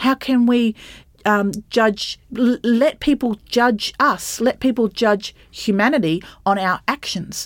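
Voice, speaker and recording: With an Australian accent, a woman speaks very slowly in a fairly high voice at a very even loudness, and the sound is dry and close with no echo. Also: ordinary pitch variation. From regional Queensland, Australia (Bundaberg). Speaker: associate professor. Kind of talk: interview conversation.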